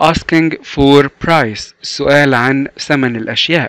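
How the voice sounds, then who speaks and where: A man at a very slow pace with ordinary pitch variation, in a dry, close sound with no echo. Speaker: English teacher. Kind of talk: tutorial. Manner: slow, repetitive drilling.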